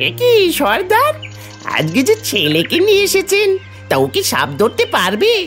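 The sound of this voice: A cartoonish character voice speaks at a moderate pace over clear music in the background.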